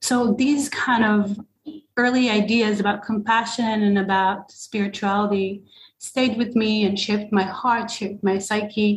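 A woman speaks at a fairly slow pace with a medium pitch. Her intonation is monotone and flat, and her voice is somewhat breathy. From Israel. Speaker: psychedelic therapy practitioner. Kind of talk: interview.

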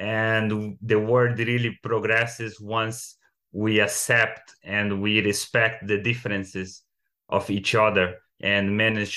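Speaking at a fairly slow pace in a Brazilian accent, a man uses a fairly low pitch and monotone, flat intonation. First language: Portuguese. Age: 30s. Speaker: artist. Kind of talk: casual interview.

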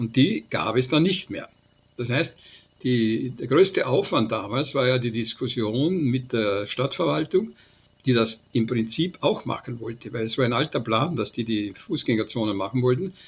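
Somewhat breathy male voice of medium pitch, with lively intonation and a moderate pace. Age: 80s+. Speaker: transport scientist, professor emeritus. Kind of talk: interview.

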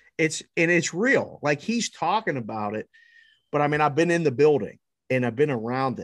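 Man at a moderate pace with ordinary pitch variation and a normal speaking voice, on a very clean recording with a silent background. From Pittsburgh, Pennsylvania. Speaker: sports betting analyst. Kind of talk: casual chat.

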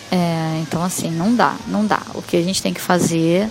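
With music in the background, a woman talks at a very slow pace in a fairly low pitch. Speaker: musician guest. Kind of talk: interview answer.

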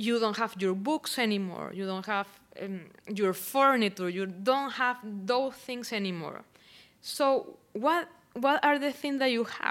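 The speaker has a Venezuelan accent. The pace is fairly slow. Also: woman, fairly high pitch for a woman, lively intonation. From Venezuela (Barquisimeto). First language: Spanish. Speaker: poet and artist. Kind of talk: casual interview conversation. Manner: hesitant, halting.

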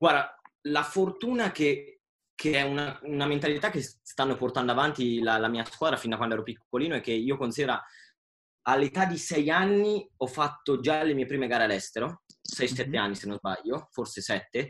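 Lively in intonation, a man with a normal speaking voice and a fairly high pitch for a man talks at a moderate pace on a very clean recording with a silent background. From Italy. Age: 20s. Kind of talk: casual chat.

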